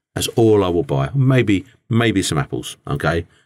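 In an English accent, a man speaks at a moderate pace. The recording is very clean, with a silent background. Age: 50s. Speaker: business owner and podcast host. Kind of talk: personal monologue. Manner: halting, with many repetitions and fillers.

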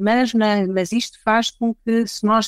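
A woman's normal speaking voice at a medium pitch, with fairly even intonation and a dry, close sound with no echo. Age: 40s. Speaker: HR director. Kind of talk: casual panel discussion.

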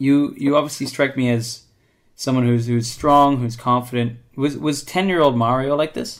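In a very clean recording with a silent background, a man with an ordinary speaking voice and a Canadian accent speaks at a moderate pace and a medium pitch. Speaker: podcast host. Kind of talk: casual interview. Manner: upbeat.

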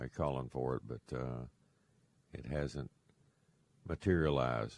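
A man talks with a Texan accent. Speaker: radio host, fishing guide. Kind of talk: call-in radio show. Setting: studio.

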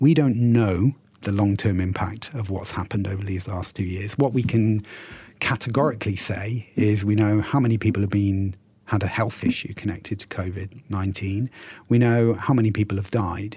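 A man with a British accent: fairly low pitch, moderate pace, somewhat breathy, dark and mellow in tone. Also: fairly even intonation. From UK. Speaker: university dean. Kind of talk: radio interview.

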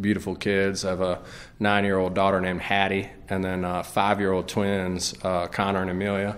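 A man with an American accent, fairly low pitch and monotone, flat intonation, in audible room echo. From Greenville, South Carolina. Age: 40s. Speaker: bar owner and entrepreneur. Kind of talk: interview. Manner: halting, many fillers.

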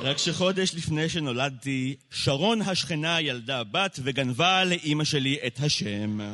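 Over noticeable background noise, a man at a fairly high pitch speaks at a very slow pace with lively intonation and hardly any pauses. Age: 20s. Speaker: slam poet. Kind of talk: spoken word poetry. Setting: stage with audience.

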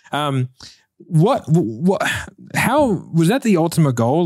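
With an American accent, a man speaks using lively intonation. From United States. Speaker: podcast host, entrepreneur. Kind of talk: casual interview.

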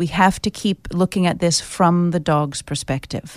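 At a moderate pace, a woman with an American accent has an unremarkable speaking voice, fairly low in pitch with ordinary pitch variation, in a very clean recording with a silent background and a dry, close sound with no echo. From United States. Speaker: pet custody mediator. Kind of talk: radio interview. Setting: studio.

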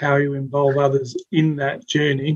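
An Australian accent from a man with a fairly high-pitched voice. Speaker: podcast host. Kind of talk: interview.

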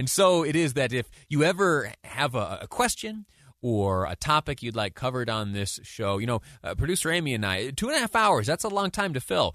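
A man with a bright, sharp tone and fairly high pitch talks at a fairly quick pace, his pitch swinging very widely against a quiet background. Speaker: radio host. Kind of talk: live radio talk show. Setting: studio. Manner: fast talker, stammering.

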